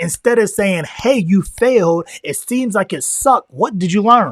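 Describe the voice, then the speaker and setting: Animated in tone, a high-pitched man talks at a moderate pace with ordinary pitch variation. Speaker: motivational speaker. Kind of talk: motivational talk.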